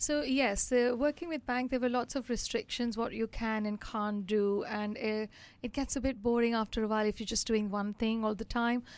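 A woman's fairly high voice at a moderate pace, with fairly even intonation, hardly any pauses, and a very clean recording over a silent background. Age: 50s. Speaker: financial adviser. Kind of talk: casual interview. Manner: hesitant, many fillers.

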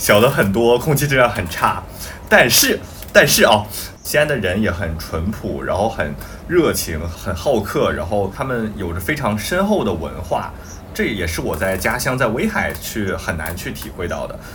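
The voice moves at a moderate pace with very wide pitch swings. Noticeable background noise and audible room echo are present. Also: man, fairly low pitch for a man. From Weihai, Shandong. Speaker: podcast co-host. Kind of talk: casual chat.

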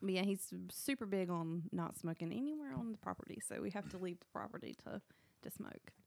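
The sound is dry and close with no echo as a woman with a Southern US accent talks fairly quickly at a medium pitch with lively intonation. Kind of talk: casual chat, storytelling. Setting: studio. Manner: animated.

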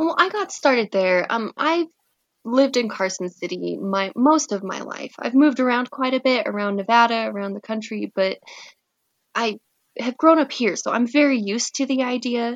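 A woman's lively intonation at a moderate pace. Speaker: former brothel worker. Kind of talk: casual chat. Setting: remote call.

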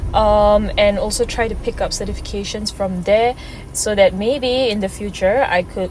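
Noticeable background noise sits behind a woman's voice. Her intonation stays fairly even. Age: 20s. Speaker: podcast host. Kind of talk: casual monologue. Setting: on the go, in transit. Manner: unstructured, with stumbles.

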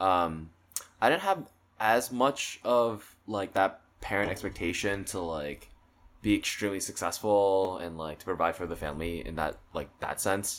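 Over a silent background in a very clean recording, a man with a very deep, low pitch talks at a fairly slow pace. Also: ordinary pitch variation. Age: 20s. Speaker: podcast guest. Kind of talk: casual chat.

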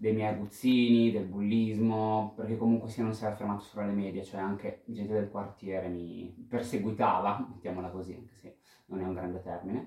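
This man speaks with a fairly low pitch and a dark, mellow tone. His intonation stays fairly even. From Italy, Pesaro (Marche). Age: 30s. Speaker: interviewee sharing coming-out story. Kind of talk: personal testimony. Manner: talkative.

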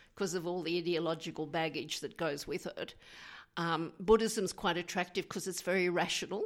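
Fairly quick speech with an Australian accent comes through a very clean recording with a silent background. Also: woman, fairly low pitch for a woman. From Queensland, Australia. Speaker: memoir author. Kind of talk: radio interview.

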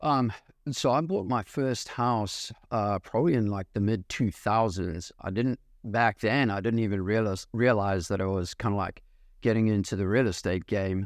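The pitch varies in an ordinary way at a moderate pace against a quiet background. It is a normal speaking voice. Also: man, fairly low pitch for a man. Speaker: real estate investor, engineering sales. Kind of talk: casual interview chat.

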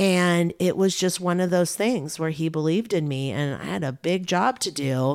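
A woman with an American accent talks at a moderate pace in a fairly low pitch with ordinary pitch variation. The recording is very clean, with a silent background. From US West Coast, Bay Area. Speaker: journalist. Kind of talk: casual chat.

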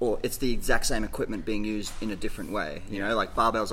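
Audible room echo surrounds a man speaking at a very fast pace in an Australian accent. His tone is bright and sharp, his intonation fairly even. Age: 40s. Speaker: gym coach. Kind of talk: casual chat.

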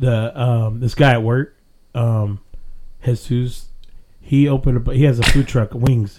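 With a dark, mellow tone and a medium pitch, a man talks at a fairly slow pace in fairly even intonation, leaving long, frequent pauses. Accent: American. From Texas, Glen Rose. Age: 30s. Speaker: podcast host. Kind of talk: casual chat.

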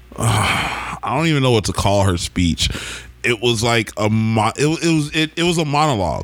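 Lively intonation in an American accent at a moderate pace and very even loudness, over noticeable background noise. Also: man, medium pitch for a man. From Oklahoma. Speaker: podcast host. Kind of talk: casual chat.

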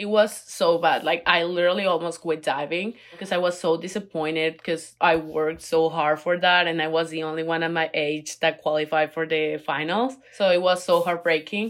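Speaking at a moderate pace, a woman uses a low pitch with fairly even intonation.

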